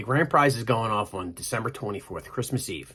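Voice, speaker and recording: This man has an ordinary pitch variation and a medium pitch. His tone is bright and sharp, with a Pennsylvania accent. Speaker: motorcycle vlogger. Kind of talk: casual vlog talk. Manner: animated.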